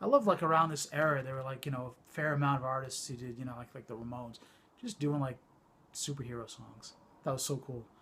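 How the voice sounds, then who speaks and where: A man mumbles at a moderate pace in a fairly high pitch. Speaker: vinyl collector YouTuber. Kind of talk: casual show-and-tell vlog. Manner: mumbling; hesitant, many fillers.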